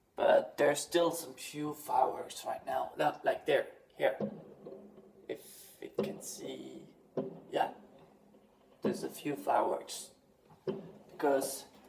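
A man talks at a very slow pace with long, frequent pauses and big swings in loudness over light background noise. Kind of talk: casual vlog chat. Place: home room. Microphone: phone near.

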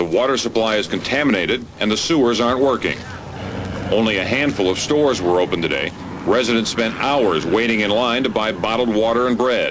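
A medium-pitched male voice at a fairly quick pace, with ordinary pitch variation and very even loudness, over noticeable background noise. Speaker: TV news reporter. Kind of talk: 1989 TV news report narration.

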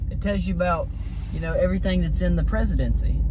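Noticeable background noise runs behind a man speaking at a very deep, low pitch. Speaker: vlogger. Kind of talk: casual vlog chat. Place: car. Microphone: phone near.

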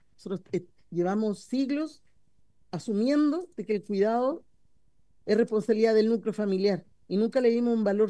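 A woman speaks at a moderate pace with a fairly high pitch and ordinary pitch variation. Her tone is dark and mellow, and the background is quiet. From Chile. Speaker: parliamentarian. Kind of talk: parliamentary debate. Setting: parliamentary committee room. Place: meeting room. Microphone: podium.

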